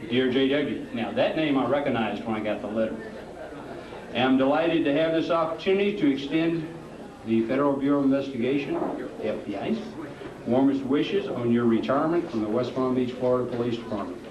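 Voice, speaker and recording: With noticeable background noise and audible room echo, a man talks at a very fast pace in a medium pitch with ordinary pitch variation. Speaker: FBI special agent. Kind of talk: retirement party speech; reading aloud. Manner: loud.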